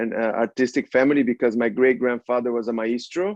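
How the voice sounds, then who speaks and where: A man speaks with a Portuguese accent. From Brazil. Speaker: prince and artist. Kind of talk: interview. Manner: hesitant with many fillers.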